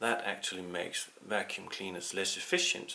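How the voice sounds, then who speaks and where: This is a man speaking. He has a Danish accent. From Denmark. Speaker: political commentator. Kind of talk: opinion monologue. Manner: hesitant, many fillers.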